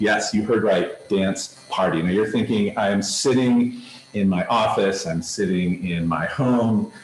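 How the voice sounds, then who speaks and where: A booming, fairly low male voice at a fairly slow pace, with ordinary pitch variation, very even loudness and audible room echo. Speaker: camp director giving keynote. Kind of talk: keynote presentation over video. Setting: video conference from a room in a health center.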